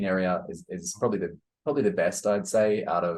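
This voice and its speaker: A man with an Australian accent, at a moderate pace. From Australia (Brisbane). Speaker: digital nomad entrepreneur, podcast co-host. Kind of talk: casual interview chat. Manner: halting, many fillers and repeats.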